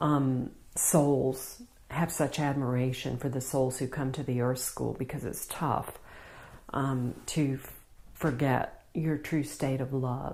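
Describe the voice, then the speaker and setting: Speaking very slowly in an American accent, a woman has a very deep, low pitch, a dark, mellow tone and monotone, flat intonation. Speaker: spiritual healer. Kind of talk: spiritual talk to camera.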